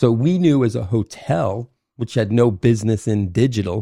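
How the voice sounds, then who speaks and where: With an American accent and ordinary pitch variation, a man speaks in a dark, mellow tone with a dry, close sound and no echo. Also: very clean recording, silent background. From Maine, US (Kennebunkport). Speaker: hospitality manager. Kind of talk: interview. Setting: home kitchen recording.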